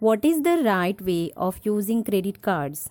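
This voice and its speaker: A woman's dark, mellow tone sits at a fairly high pitch for a woman with very wide pitch swings, in a dry, close sound with no echo and a very clean recording with a silent background. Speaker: personal finance podcaster. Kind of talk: tutorial.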